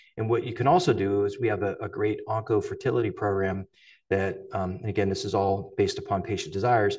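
With an American accent, a man talks at a very fast pace, and audible room echo surrounds his words. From northeast Ohio. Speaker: cancer surgeon. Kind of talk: lecture. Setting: lecture hall with live and online audience. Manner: halting, many fillers.

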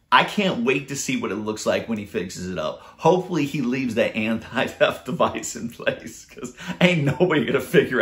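Upbeat and enthusiastic, a man with vocal fry speaks at a moderate pace and fairly high pitch, his voice swinging very widely in pitch. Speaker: YouTube DIY creator. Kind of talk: casual vlog narration. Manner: upbeat, enthusiastic. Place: home room. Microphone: phone near.

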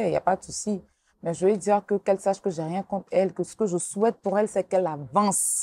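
Dark and mellow in tone, a woman speaks at a fairly quick pace with ordinary pitch variation, the sound dry with no echo. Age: 30s. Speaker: blogger. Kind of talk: interview. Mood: earnest, somewhat defensive.

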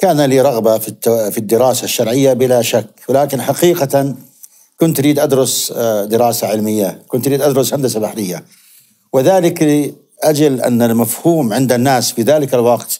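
The background is quiet. Pitch varies in an ordinary way as the man talks. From Zarqa, Jordan; Jordan. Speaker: hadith scholar; guest. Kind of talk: interview. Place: studio. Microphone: lapel.

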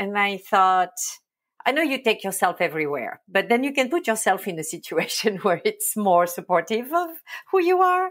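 A fairly high-pitched woman in a French accent, with very wide pitch swings, on a very clean recording with a silent background. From France, Provence. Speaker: agency owner. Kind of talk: interview.

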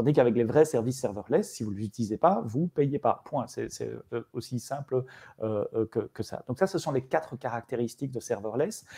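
A man with a medium-pitched voice speaks at a moderate pace, his tone dark and mellow, somewhat breathy, with lively intonation and a dry, close sound with no echo. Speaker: tech evangelist presenting a framework. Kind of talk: online meetup presentation. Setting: live stream. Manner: hesitant, many fillers.

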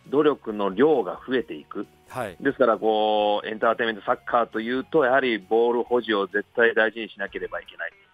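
A man talks at a fairly quick pace with hardly any pauses and ordinary pitch variation, in a dry sound with no echo and faint music in the background. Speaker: football club head coach. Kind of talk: interview answer. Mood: thoughtful, reflective. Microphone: phone line.

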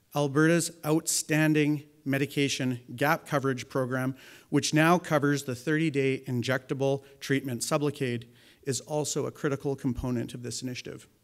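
Against a quiet background, a man with a Canadian accent talks at a moderate pace in a fairly high pitch, his intonation monotone and flat. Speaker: addiction medicine physician. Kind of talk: press conference statement. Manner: halting. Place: hall. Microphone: podium.

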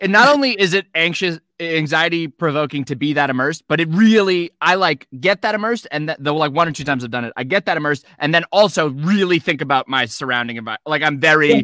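Against a quiet background, a man talks very fast with a bright, sharp tone. The sound is dry with no echo, and his pitch varies in an ordinary way. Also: hardly any pauses. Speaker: voice actor. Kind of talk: casual panel chat. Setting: video call. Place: home room.

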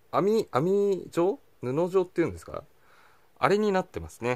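A man talks at a moderate pace. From Japan. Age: 20s. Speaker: gadget reviewer YouTuber. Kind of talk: casual product review talking to camera. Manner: cheerful, energetic. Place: home room. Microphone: phone near.

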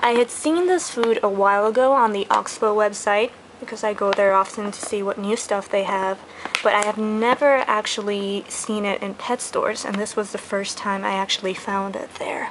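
A moderate pace and fairly even intonation, with noticeable background noise. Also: woman. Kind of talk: casual product review. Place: home room. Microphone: phone near.

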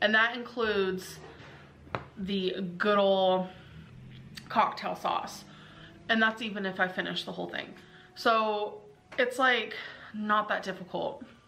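A woman at a fairly slow pace, fairly even intonation, long and frequent pauses, light background noise behind her. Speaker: food vlogger. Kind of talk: casual vlog chat. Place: home room. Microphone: phone near.

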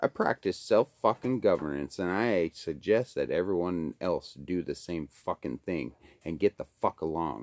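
A man's very deep, low voice with vocal fry at a moderate pace. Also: lively intonation. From Alaska, Kenai Peninsula; Alaska. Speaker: video blogger. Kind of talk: profane rant monologue. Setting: at home by a wood stove. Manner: animated. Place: home room. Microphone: phone near.

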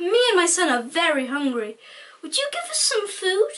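This put-on character voice has a bright, sharp tone, very wide pitch swings and a moderate pace. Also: man, extremely high pitch for a man.

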